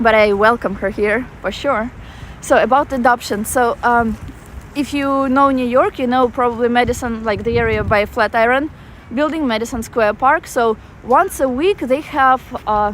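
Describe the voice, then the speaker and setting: A woman with a Russian accent speaks at a moderate pace. Her pitch is high, with ordinary variation. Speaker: travel vlogger. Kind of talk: live-stream walking tour with chat. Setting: outdoors in a park. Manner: casual, halting with fillers.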